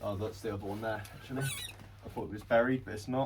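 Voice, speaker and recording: His voice is fairly low-pitched and somewhat breathy, and this man speaks with fairly even intonation. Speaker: reseller vlogger. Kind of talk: casual vlog monologue. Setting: shop floor. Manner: hesitant, with pauses.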